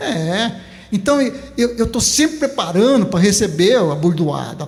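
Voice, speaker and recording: A man's high voice, fairly slow, with very wide pitch swings, over noticeable background noise. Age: 70s. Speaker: farmer and former teacher. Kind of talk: interview.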